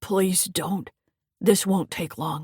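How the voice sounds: A put-on character voice at a middle pitch comes out raspy and gravelly.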